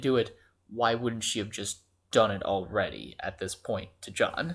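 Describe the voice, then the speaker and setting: A quiet male voice at a moderate pace on a very clean recording with a silent background. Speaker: student. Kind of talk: casual fan theory talk. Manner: quiet, hushed.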